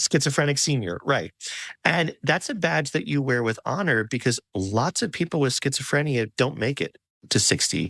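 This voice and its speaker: A man with a fairly high pitch, vocal fry, and lively intonation is heard on a very clean recording with a silent background and a dry, close sound with no echo. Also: moderate pace. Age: 40s. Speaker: podcast host. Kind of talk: interview conversation.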